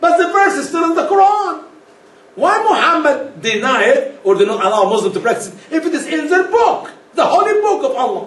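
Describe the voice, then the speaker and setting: Over noticeable background noise and audible room echo, a man speaks fairly quickly in an animated tone, his extremely high pitch swinging very widely. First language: not English. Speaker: speaker on religion. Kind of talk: lecture.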